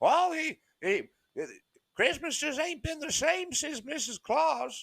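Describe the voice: This man performs a put-on character voice. It is pitched extremely high and delivered fairly slowly.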